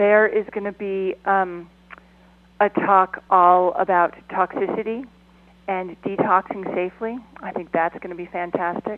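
Over noticeable background noise, a woman speaks at a fairly slow pace and medium pitch in a monotone, flat intonation, with big swings in loudness. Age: 50s. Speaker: documentary film producer and activist. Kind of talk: radio interview.

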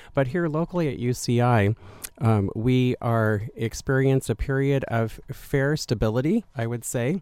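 A man talks at a moderate pace with a medium pitch and ordinary pitch variation. He has an unremarkable speaking voice. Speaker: university administrator. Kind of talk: radio interview. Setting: studio.

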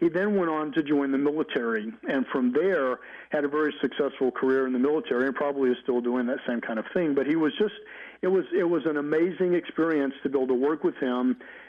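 Talking at a very fast pace with a fairly high pitch and very even loudness, a man speaks in an Alabama accent. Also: ordinary pitch variation. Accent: Southern US (Alabama). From US South, Mobile, Alabama. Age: 50s. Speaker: psychologist. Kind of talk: interview.

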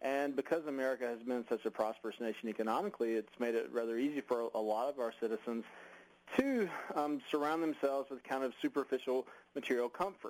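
Pitch varies in an ordinary way here. The words come at a very fast pace. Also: man, medium pitch for a man. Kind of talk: radio interview. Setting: radio interview. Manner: hesitant, halting with repeats.

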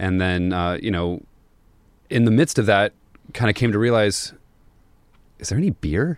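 A moderate pace broken by long, frequent pauses, with ordinary pitch variation. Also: man, fairly low pitch for a man. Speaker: brewer. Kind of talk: casual interview chat. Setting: studio.

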